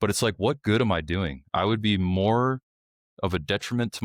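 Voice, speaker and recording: A man with an American accent talks at a moderate pace with ordinary pitch variation, his dry, close sound with no echo captured in a very clean recording over a silent background. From New York (Brooklyn). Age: 30s. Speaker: military and law enforcement veteran. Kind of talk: casual chat.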